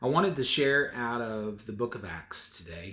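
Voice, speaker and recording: Speaking at a fairly slow pace, a man has a medium pitch with ordinary pitch variation. His tone is bright and sharp. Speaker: preacher. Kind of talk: sermon, preaching to a congregation.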